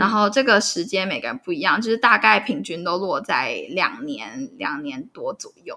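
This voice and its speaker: A woman speaks at a moderate pace with hardly any pauses. Her loudness swings widely. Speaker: psychotherapist. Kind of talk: interview.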